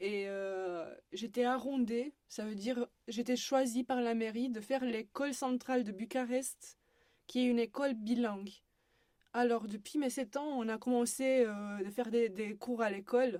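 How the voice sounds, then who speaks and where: A woman with a Romanian accent speaks at a fairly slow pace in a dark, mellow tone. Her pitch is fairly high, and her intonation stays fairly even. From Romania, Bucharest. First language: Romanian (speaking French). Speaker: university student. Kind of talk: podcast interview. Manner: hesitant.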